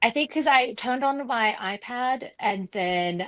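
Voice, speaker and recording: Speaking with an Australian accent, a woman uses lively intonation at a moderate pace, in a dry, close sound with no echo. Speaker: quilt designer. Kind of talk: tutorial.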